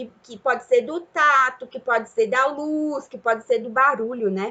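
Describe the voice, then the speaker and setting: A woman at a fairly slow pace. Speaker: teacher. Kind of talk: lecture. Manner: halting.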